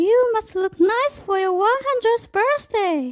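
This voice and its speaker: A squeaky, put-on character voice, female-sounding, pitched extremely high and delivered at a fairly slow pace. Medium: read story. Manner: bright, bossy-affectionate.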